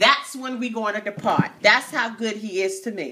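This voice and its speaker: A woman's animated voice, pitched fairly high. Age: 40s. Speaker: YouTube vlogger. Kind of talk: casual chat. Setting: at home. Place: home room. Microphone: phone near.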